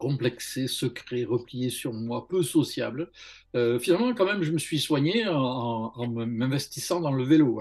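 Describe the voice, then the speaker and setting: A man speaks at a fairly slow pace in a medium pitch with lively intonation. The background is quiet. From southern France, Montpellier. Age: 60s. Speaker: religious testimony guest. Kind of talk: testimony. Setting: video call. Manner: halting, many hesitations.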